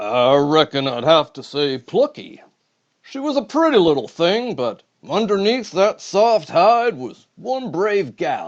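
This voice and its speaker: Putting on a character voice, a man speaks at a fairly slow pace in a high pitch with very wide pitch swings. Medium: read story. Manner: drawling, folksy.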